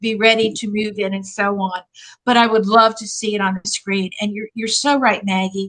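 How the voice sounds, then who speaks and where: Against a quiet background, a woman speaks with an American accent. Her pitch is fairly high and her tone bright and sharp. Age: 80s+. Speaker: retired professor and author. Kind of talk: interview. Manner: halting.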